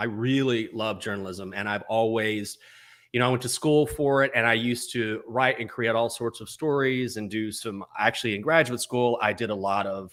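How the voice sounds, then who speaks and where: With an American accent, a man talks at a fairly quick pace, keeping a medium pitch and ordinary pitch variation. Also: very clean recording, silent background. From West Texas (Breckenridge). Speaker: sports betting show host. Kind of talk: podcast interview.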